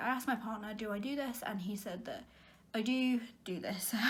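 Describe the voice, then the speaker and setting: A woman talks at a fairly high pitch with fairly even intonation. Noticeable background noise and audible room echo surround her. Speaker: vlogger. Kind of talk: casual monologue. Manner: fast.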